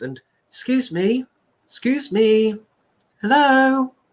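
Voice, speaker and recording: In a put-on character voice, fairly high and timid in tone, the speaker talks at a very slow pace. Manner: timid, hesitant.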